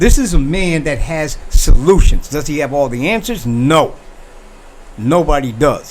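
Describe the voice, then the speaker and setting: Over noticeable background noise, a man with a fairly high voice speaks at a fairly slow pace, with an animated tone and lively intonation. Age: 60s. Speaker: talk show host. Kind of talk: opinion monologue.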